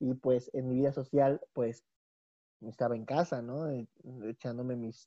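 A man's dark, mellow tone with fairly even intonation, over a quiet background. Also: dry, close sound with no echo. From Mexico City. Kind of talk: casual chat.

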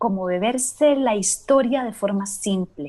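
Speaking at a very slow pace, a woman uses a fairly high pitch, lively intonation, and a dark, mellow tone. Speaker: podcast host. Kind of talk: casual chat. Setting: remote recording from home.

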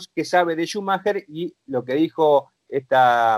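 A plain, everyday voice from a man, fairly high in pitch with lively intonation, in a dry, close sound with no echo. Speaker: motorsport commentator. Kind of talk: casual chat.

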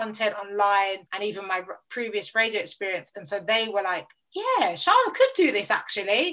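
A South London accent at a moderate pace, with big swings in loudness, ordinary pitch variation and a bright, sharp tone. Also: woman, medium pitch for a woman. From south east London, Lewisham. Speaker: radio presenter and producer. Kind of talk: casual interview chat.

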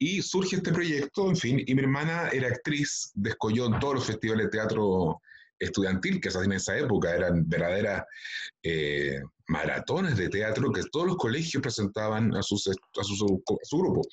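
A man with a medium pitch and very wide pitch swings, somewhat breathy, at a moderate pace with very even loudness. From Chile, Valparaíso region (Quilpué). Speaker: actor and children's TV presenter. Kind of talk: interview.

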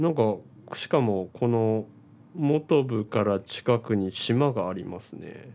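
A man's very slow speech, dark and mellow in tone, with ordinary pitch variation. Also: medium pitch for a man. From Hiroshima, Japan. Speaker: podcast co-host. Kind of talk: casual chat.

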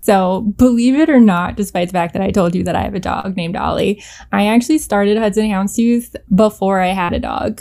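Woman with a Canadian accent, medium pitch, dark, mellow tone, ordinary pitch variation, fairly quick pace. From Canada. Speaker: fashion designer and pet accessory business owner. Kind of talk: podcast interview. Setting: remote call.

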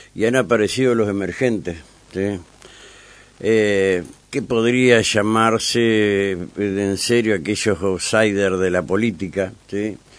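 Speaking at a very slow pace, a man uses a fairly low pitch and fairly even intonation. There is noticeable background noise. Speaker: radio host. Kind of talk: radio interview. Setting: radio studio.

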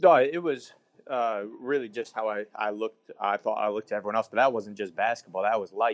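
Talking at a fairly quick pace, a man with a medium pitch shows ordinary pitch variation. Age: 20s. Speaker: mental health podcaster, former rec league basketball player. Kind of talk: casual interview chat. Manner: halting, many fillers.

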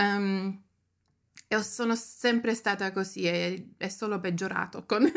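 A woman's medium-pitched voice at a very slow pace with fairly even intonation, in a very clean recording with a silent background. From Germany. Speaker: photographer and writer. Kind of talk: casual interview chat.

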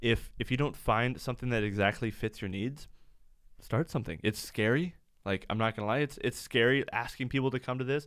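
On a very clean recording with a silent background, a man speaks at a fairly quick pace, his medium pitch showing ordinary variation. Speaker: church youth worker. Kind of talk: casual chat. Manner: animated.

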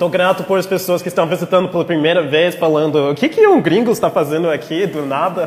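The speaker has an American accent and ordinary pitch variation. Hardly any pauses break the speech, with noticeable background noise behind it. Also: man, high pitch for a man, fairly quick pace. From rural Texas, US. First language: English (speaking Portuguese). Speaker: pastor. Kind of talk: sermon. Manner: halting.

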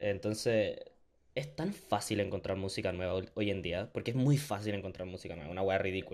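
A man with a fairly low pitch and a Chilean accent. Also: ordinary pitch variation, fairly quick pace. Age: 20s. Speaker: podcast host. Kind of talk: casual chat.

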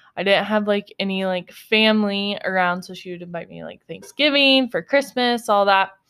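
With an American accent and a normal speaking voice, a woman talks at a moderate pace with hardly any pauses, medium pitch, ordinary pitch variation and big swings in loudness. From upstate New York. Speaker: podcast co-host. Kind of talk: casual chat.

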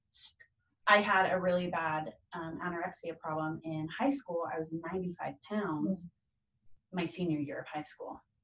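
A woman with an ordinary speaking voice, fairly low pitch with ordinary variation, a fairly slow pace and big swings in loudness. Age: 20s. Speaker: guest sharing recovery story. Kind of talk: personal testimony.

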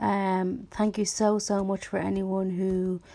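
Her voice is medium in pitch, dark and mellow, in a monotone, flat delivery with a Dublin accent. This woman is heard on a very clean recording with a silent background. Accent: Dublin Irish. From Dublin, Ireland. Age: 20s. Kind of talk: solo podcast monologue. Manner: halting, frequent restarts and fillers.

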